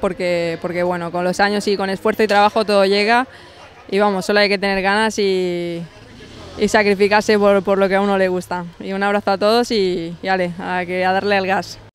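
At a moderate pace, a woman speaks in a flat monotone, the sound dry with no echo and light background noise behind her. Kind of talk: interview answer. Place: stadium. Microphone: handheld.

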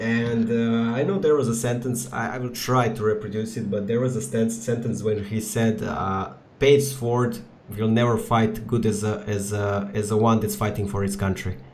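Against noticeable background noise, a man talks at a moderate pace, his medium-pitched voice carrying fairly even intonation. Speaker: podcast host. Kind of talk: casual chat. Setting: video call.

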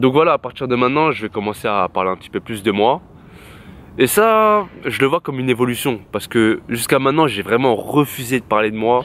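A man at a medium pitch talks at a fairly quick pace with lively intonation, in a dry sound with no echo. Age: 20s. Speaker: YouTuber. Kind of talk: personal vlog monologue. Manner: casual slangy. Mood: reflective, candid. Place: garden. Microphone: phone near.

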